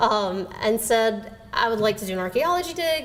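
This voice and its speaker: A speaker talks with a Southern US accent and ordinary pitch variation. Noticeable background noise sits behind the voice. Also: woman. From Alabama. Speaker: novelist. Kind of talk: lecture talk.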